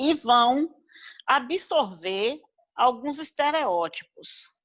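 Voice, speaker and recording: A woman with a high pitch speaks very slowly with very wide pitch swings, on a very clean recording with a silent background. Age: 70s. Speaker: gerontology professional. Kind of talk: panel discussion.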